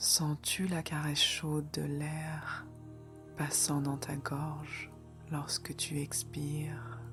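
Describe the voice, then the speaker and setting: Over music in the background, a woman speaks very slowly in a very deep, low voice with a calm, soothing tone and fairly even intonation. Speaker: meditation guide. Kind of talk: guided meditation. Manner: slow, calm, soothing.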